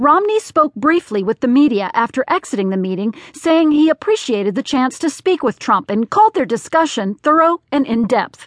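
A high-pitched woman at a moderate pace, very wide pitch swings, hardly any pauses, and a dry, close sound with no echo. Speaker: audiobook newsreader. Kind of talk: scripted newsreading of print articles, read aloud in an even, neutral broadcast style. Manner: measured, formal, steady and clear, with little emotion; brisk, businesslike pacing through a dense list of names.

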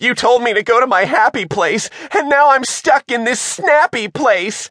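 A put-on character voice pitched fairly high. It comes out shrill. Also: moderate pace. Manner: screeching.

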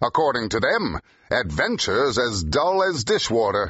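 This man puts on a growling character voice. He talks at a moderate pace. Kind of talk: full-cast audio drama. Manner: impatient, forceful, growling.

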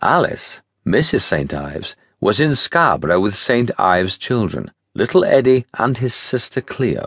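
A man speaks in a dramatic tone at a fairly slow pace. The sound is dry and close with no echo, and the background is quiet. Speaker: audiobook narrator. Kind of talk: scripted audiobook narration of a Victorian-era adventure novella, read in first person. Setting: studio. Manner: dramatic, measured storyteller's pacing with vivid, period-flavored delivery.

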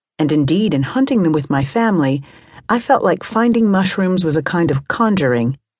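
A fairly low-pitched, somewhat breathy woman's voice with a warm tone, very wide pitch swings and a fairly quick pace, over a quiet background. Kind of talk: audiobook narration. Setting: studio. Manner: measured, warm, even-paced reading.

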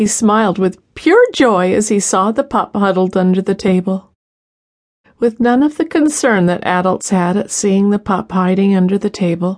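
Over a quiet background, a woman with a plain, everyday voice speaks at a moderate pace and medium pitch, with ordinary pitch variation. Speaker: audiobook narrator. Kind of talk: audiobook narration, reading a true dog story aloud. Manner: calm, even storyteller pacing, gently expressive.

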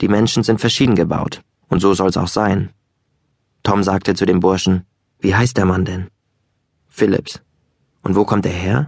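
A man with a fairly low pitch speaks at a fairly slow pace in an animated, calm tone, leaving long, frequent pauses. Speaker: audiobook narrator. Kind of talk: dramatic audiobook narration, first-person storytelling with character voices. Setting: studio. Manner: animated, lively, shifting between calm narration and playful dialogue voices; conversational, wry and boyish in tone.

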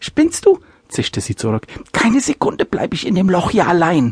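A woman does a put-on character voice at a medium pitch and moderate pace, with hissing in the recording. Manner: hissed, indignant.

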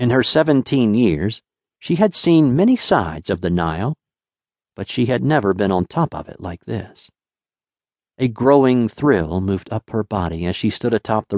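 A man speaks with an unremarkable speaking voice at medium pitch and a moderate pace, his intonation lively, recorded dry and close with no echo against a quiet background. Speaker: audiobook narrator. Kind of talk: audiobook narration, dramatic storytelling. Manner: measured, evocative, steady storyteller pacing.

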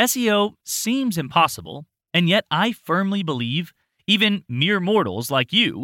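On a very clean recording with a silent background, the voice has a bright, sharp tone and very wide pitch swings, moving at a fairly slow pace with a dramatic, upbeat tone. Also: man. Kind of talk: infomercial-style sales pitch, scripted audiobook narration. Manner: upbeat, punchy, salesy, tongue-in-cheek; dramatic, emphatic, with mock-sarcastic flourishes.

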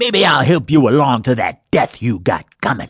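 A man speaks in a put-on character voice at a medium pitch. His pace is moderate and his intonation is lively. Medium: read story. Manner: aggressive, threatening.

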